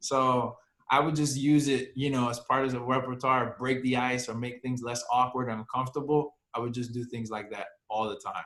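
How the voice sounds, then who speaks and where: Speaking at a moderate pace, a man with an American accent has a medium pitch. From New York / New Jersey area. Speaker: career counselor. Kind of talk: casual chat. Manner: animated.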